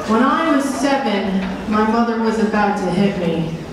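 Through strong room echo and noticeable background noise, a woman speaks at a fairly slow pace. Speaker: stand-up comedian. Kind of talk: stand-up comedy routine. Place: stage.

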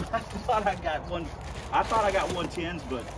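A man's speech comes through with noticeable background noise around it. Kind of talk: casual vlog chat. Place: street.

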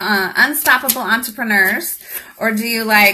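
A woman speaks with a bright, sharp tone. Her pace is fairly slow. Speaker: business coach. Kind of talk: casual live-stream chat. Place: home room. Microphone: phone near.

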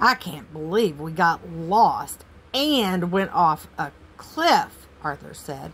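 This is an unforced reading voice. It reads through the clip.

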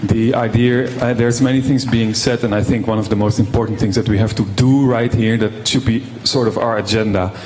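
The speech moves at a moderate pace with fairly even intonation. Background noise is clearly audible. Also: man.

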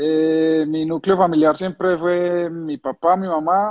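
The man's pitch sits fairly high, and he speaks in an Antioquian accent. His pace is fairly slow against a quiet background. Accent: Colombian paisa Spanish. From Colombia, Medellín. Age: 30s. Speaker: retired footballer, goalkeeper. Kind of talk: casual interview. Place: home room. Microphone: phone near.

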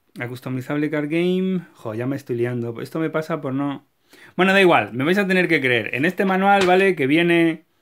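In a Castilian accent, a man talks with lively intonation and a fairly high pitch. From Spain. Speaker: YouTuber, card game collector. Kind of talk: video tutorial; casual explanatory collector chat. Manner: animated; halting, repeats words. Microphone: phone near.

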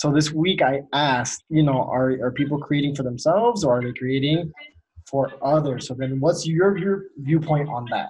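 The man has an ordinary speaking voice, fairly high pitch, ordinary pitch variation and a moderate pace. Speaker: podcast host. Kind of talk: casual chat. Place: home room. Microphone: video call.

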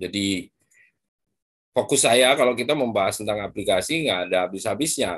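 Lively intonation and a fairly quick pace mark a man's speech, set against a quiet background. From Madura, East Java, Indonesia; East Java, Indonesia. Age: 40s. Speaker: biology professor; lecturer guest speaker. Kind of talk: lecture. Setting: video call. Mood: relaxed, friendly. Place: home room. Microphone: video call.

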